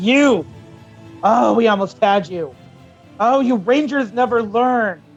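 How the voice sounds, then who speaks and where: Over faint music in the background, a man puts on a high-pitched, growling character voice, speaking at a fairly slow pace with long, frequent pauses. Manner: growling, menacing.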